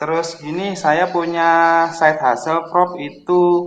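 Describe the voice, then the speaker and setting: This man speaks with a Javanese accent at a very slow pace. His pitch is high. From East Java (Kediri). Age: 30s. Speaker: caller. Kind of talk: call-in Q&A.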